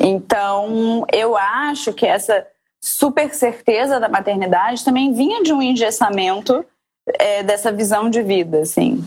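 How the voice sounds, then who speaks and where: At a fairly slow pace, a woman with an ordinary speaking voice talks in a fairly high pitch with ordinary pitch variation. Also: very even loudness. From Rio de Janeiro, Brazil. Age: 30s. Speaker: mother, podcast guest. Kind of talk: casual interview chat.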